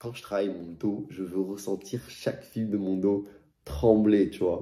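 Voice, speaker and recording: A man's fairly low voice carries a dark, mellow tone, moving at a fairly slow pace with ordinary pitch variation. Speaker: fitness youtuber. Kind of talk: casual vlog advice. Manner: casual slangy.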